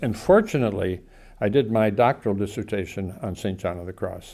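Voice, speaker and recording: Talking at a fairly quick pace, a man with an American accent has a fairly low pitch and a dark, mellow tone. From Southern California. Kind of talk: interview.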